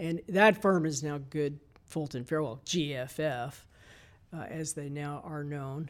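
A man with an American accent and an ordinary speaking voice talks at a fairly slow pace and fairly high pitch with ordinary pitch variation, in a very clean recording with a silent background. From Texas, Dallas. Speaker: architect, design director. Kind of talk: interview.

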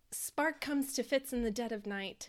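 Here is a woman with an unremarkable speaking voice, talking at a moderate pace with ordinary pitch variation. The recording is very clean and the background silent. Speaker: podcast co-host. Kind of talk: casual chat and recap reading.

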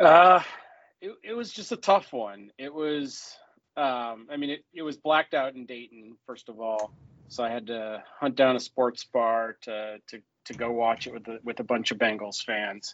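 A man speaks in a normal speaking voice at a medium pitch, with ordinary pitch variation. His pace is fairly slow and his loudness swings widely. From Ohio (Cleveland, then Athens). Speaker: sports fan podcast guest. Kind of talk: casual chat. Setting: hotel room.

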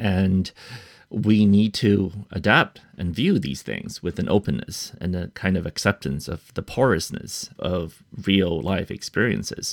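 A man speaks at a fairly slow pace in a very deep, low pitch, with vocal fry and ordinary pitch variation. The recording is very clean, with a silent background. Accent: American. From United States. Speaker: author. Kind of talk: interview. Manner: thoughtful, with frequent fillers and repetitions.

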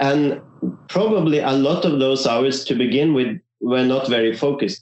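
A man with a non-native accent, fairly high pitch, ordinary pitch variation and a fairly slow pace. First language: not English. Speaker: violinist and orchestra concertmaster. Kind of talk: interview. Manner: halting.

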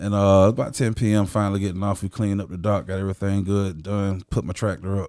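A man with an American accent speaks very fast with hardly any pauses, his fairly low voice dark and mellow and his intonation fairly even, on a very clean recording with a silent background. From Jacksonville, Florida, with time in Chicago. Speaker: church member sharing testimony. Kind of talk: testimony. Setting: studio.

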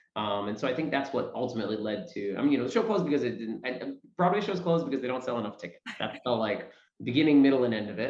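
In an American accent, a man talks with audible room echo. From New York City area. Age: 30s. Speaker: stage actor. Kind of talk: interview. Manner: halting.

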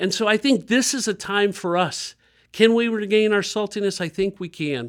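This man talks with an American accent, keeping a moderate pace. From US Midwest, Dayton, Ohio. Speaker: community center director. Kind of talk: interview about faith and community.

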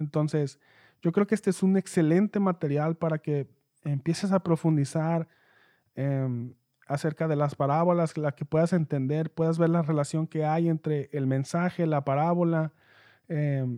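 A man's voice with a dark, mellow tone and fairly even intonation comes through over a quiet background. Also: dry, close sound with no echo. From Mexico, Mexicali. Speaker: podcast host. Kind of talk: book review monologue. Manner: halting, many repetitions and fillers.

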